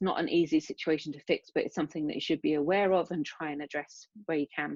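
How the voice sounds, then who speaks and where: Speaking at a very fast pace, a woman with a British accent uses a very deep, low pitch and flat, monotone intonation, with a dry, close sound and no echo. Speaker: neuroscience researcher. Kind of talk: lecture.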